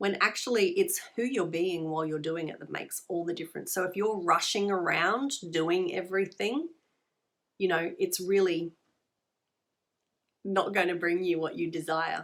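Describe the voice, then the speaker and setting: With an Australian accent, a woman talks at a moderate pace in a medium pitch, her pitch varying in an ordinary way. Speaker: tarot reader and spiritual healer. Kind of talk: tarot card reading. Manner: conversational, many fillers and repetitions.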